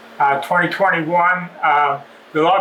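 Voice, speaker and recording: Over noticeable background noise, a man with an Ontario accent speaks at a moderate pace in a fairly high, monotone, flat voice. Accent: Canadian English (Ontario). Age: 70s. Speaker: dirt bike club member giving a maintenance demo. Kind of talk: casual address to club members; casual tutorial. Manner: relaxed, with many fillers.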